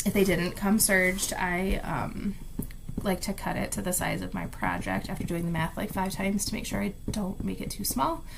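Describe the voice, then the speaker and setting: Audible room echo and noticeable background noise around a woman talking at a middling speed. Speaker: craft vlogger. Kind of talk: casual chat. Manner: animated.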